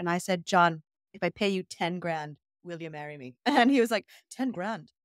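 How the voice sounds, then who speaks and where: In a dry recording with no echo and a quiet background, a woman speaks at a moderate pace. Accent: Irish. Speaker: musician; guest. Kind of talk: casual interview; interview answer. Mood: amused, telling a funny story. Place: home room. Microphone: webcam.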